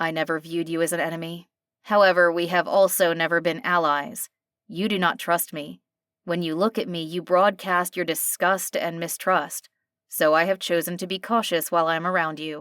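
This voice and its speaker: A put-on character voice growls at a moderate pace. The recording is very clean, with a silent background. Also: woman, fairly low pitch for a woman. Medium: read story. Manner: formal, measured, no contractions.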